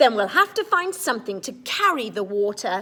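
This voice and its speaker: A put-on character voice with very wide pitch swings at a moderate pace. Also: woman. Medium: read story. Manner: cheerful, unflappable.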